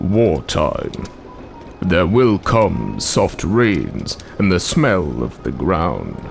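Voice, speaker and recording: Put-on character voice at a very slow pace, over clear background noise. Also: man, very deep, low pitch for a man. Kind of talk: poetry reading.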